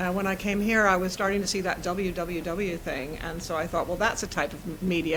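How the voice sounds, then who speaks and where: Spoken very fast in an American accent, the voice stays flat and monotone, with audible room echo and noticeable background noise. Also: woman. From US, New York and California. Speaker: systemic coach and facilitator. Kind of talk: interview conversation.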